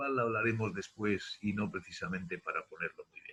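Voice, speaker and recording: The intonation is lively. A man speaks in a somewhat breathy voice. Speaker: retired air force captain, lecturer. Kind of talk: lecture. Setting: video call. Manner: fast; halting, many fillers.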